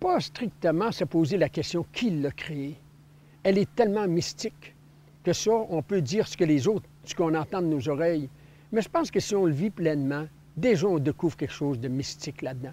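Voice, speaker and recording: Using a dark, mellow tone, a man with a high pitch talks at a moderate pace with lively intonation. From Quebec, Sacré-Coeur (Côte-Nord). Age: 60s. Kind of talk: personal testimony. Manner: hesitant, many filler words.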